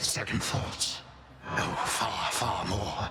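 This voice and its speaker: A man does a put-on character voice over loud background noise. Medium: video game. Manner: measured, archaic phrasing.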